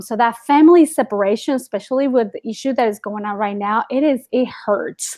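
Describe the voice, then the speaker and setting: Speaking at a moderate pace against a quiet background, a woman with a Spanish accent uses a high pitch and ordinary pitch variation. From Guatemala. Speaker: ESL teacher. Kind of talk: interview.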